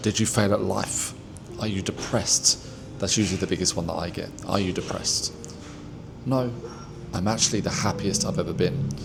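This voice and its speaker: Amid noticeable background noise, a man with a fairly low pitch speaks at a fairly quick pace, leaving long, frequent pauses. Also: ordinary pitch variation. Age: 40s. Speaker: mindset content creator. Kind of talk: casual talk to camera.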